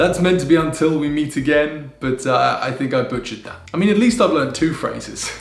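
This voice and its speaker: With music in the background, a man with a British accent talks at a fairly quick pace in a fairly high pitch, his intonation lively and hardly any pauses between phrases. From United Kingdom. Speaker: vlogger. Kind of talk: casual talk to camera.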